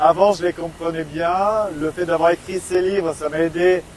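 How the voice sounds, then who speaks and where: A man talks in a high voice. His intonation stays fairly even. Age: 40s. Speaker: author. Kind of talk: interview. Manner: hesitant, many fillers.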